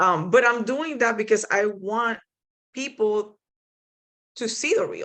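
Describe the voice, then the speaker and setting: Speech in a Spanish accent at a fairly slow pace, with ordinary pitch variation, big swings in loudness, and long, frequent pauses. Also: woman, fairly high pitch for a woman. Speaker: kayak angler and paddling panelist. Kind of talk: panel discussion.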